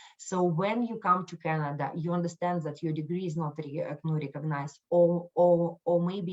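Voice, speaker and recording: This woman talks at a moderate pace with a non-native accent. Her pitch is very deep and low, and her intonation is flat and monotone. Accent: foreign. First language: not English. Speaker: microlending outreach staff. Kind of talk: webinar presentation. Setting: online live event. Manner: halting, many fillers and restarts.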